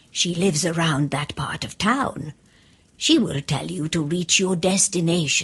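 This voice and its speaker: A woman's put-on character voice, fairly low-pitched, at a fairly slow pace. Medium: read story. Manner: kind, warm.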